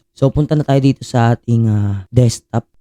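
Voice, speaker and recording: Man's dark, mellow voice at medium pitch and a moderate pace. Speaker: YouTuber, load conversion seller. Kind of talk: tutorial. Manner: casual, many filler sounds. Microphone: echo added via sound card.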